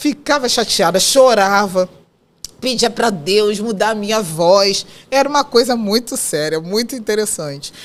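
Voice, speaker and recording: A woman speaks in a plain, everyday voice at a fairly high pitch. Her pace is fairly slow and her intonation lively. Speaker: psychoanalyst and women's mentor. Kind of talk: interview conversation.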